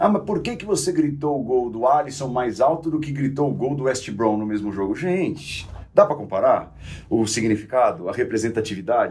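In an unremarkable speaking voice, a man delivers his words at a moderate pace. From São Caetano do Sul, São Paulo, Brazil. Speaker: football commentator. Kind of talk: casual chat.

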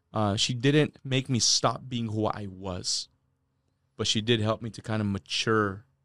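With an American accent, a man speaks at a fairly low pitch. The sound is dry and close with no echo. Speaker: sales leader / guest. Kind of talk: interview conversation.

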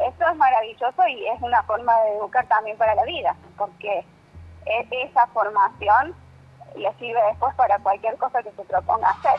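An unremarkable speaking voice from a woman, fairly high in pitch, with lively intonation, big swings in loudness and a moderate pace. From Argentina, Córdoba Sierras Chicas. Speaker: violin teacher. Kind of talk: radio interview. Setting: phone call.

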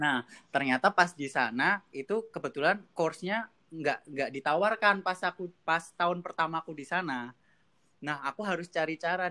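A bright, sharp tone comes through dry and close, with no trace of echo. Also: man. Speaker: PhD student in mathematics. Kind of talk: casual interview. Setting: video call.

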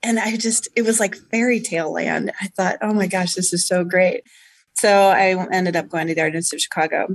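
At a fairly quick pace, a woman talks in an ordinary speaking voice at a medium pitch, with fairly even intonation. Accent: American. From Indiana (West Lafayette). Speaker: state arts agency deputy director. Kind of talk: radio interview.

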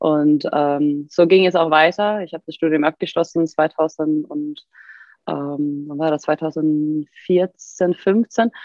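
A woman talks at a very slow pace with a very deep, low pitch. Her intonation stays fairly even while her loudness swings widely. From Sweden. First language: Swedish (speaking German). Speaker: fitness coach and physiotherapist. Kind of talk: casual chat.

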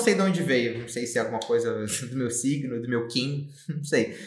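A man at medium pitch and a moderate pace, with big swings in loudness, audible room echo and noticeable background noise. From Brazil, Rio de Janeiro. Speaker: startup founder and CEO. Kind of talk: podcast interview.

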